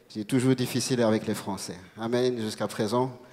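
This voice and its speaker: Against audible room echo, a man speaks at a moderate pace and medium pitch, his tone dark and mellow and his intonation fairly even. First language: not French (speaking French). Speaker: preacher. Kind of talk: sermon. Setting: church. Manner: halting.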